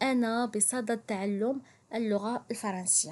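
Over a quiet background, a woman with a Moroccan accent speaks in a high pitch. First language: Moroccan Arabic (speaking French). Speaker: French teacher. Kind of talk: language tutorial. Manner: slow, repetitive.

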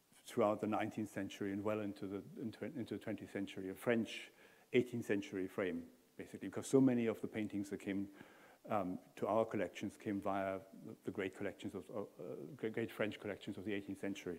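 A man with an unremarkable speaking voice, fairly low pitch, fairly even intonation, and a fairly quick pace. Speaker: guest lecturer. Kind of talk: lecture. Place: hall.

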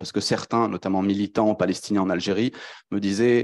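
A plain, everyday voice with fairly even intonation against a quiet background. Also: man. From France. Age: 20s. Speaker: PhD researcher; panelist. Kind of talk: academic presentation. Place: hall. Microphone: handheld.

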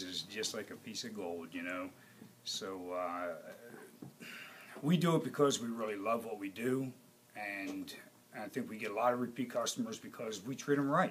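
Light background noise accompanies a man talking at a moderate speed. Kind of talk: interview answer. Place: shop.

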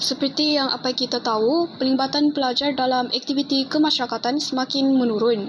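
Over noticeable background noise, a woman talks at a fairly quick pace in a high pitch, her loudness staying very even. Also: fairly even intonation. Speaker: university student. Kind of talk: class presentation.

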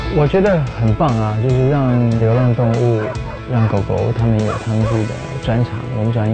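A man talks at a fairly slow pace with fairly even intonation. Music plays clearly in the background. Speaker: singer and guest narrator. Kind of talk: interview answer. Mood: warm, relaxed. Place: studio.

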